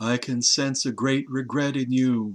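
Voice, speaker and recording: In a put-on character voice, a man delivers his lines in a sing-song yet monotone, flat way at medium pitch and a moderate pace, over a quiet background. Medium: read story. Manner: mournful.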